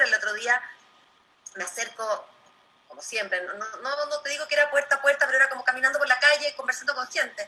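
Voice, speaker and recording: Projecting her voice, a woman talks very fast in a high pitch, with ordinary pitch variation and big swings in loudness. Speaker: political candidate. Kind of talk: debate.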